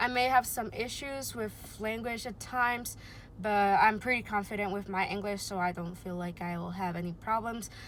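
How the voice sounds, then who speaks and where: With a Spanish accent, a woman speaks at a moderate pace in a medium pitch with ordinary pitch variation. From Puerto Rico. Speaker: booktuber, audiology student. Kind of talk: casual vlog introduction. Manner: hesitant, many fillers.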